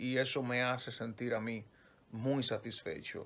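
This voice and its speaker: A man speaks at a very slow pace. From Dominican Republic. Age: young. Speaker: radio news announcer. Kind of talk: interview answer. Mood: relaxed, lightly joking. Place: home room. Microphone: phone near.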